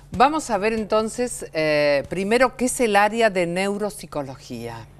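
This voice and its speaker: A woman of medium pitch in an Argentine accent, very wide pitch swings and a fairly slow pace. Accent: Argentine Spanish (Rioplatense). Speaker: TV host. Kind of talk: TV talk show interview.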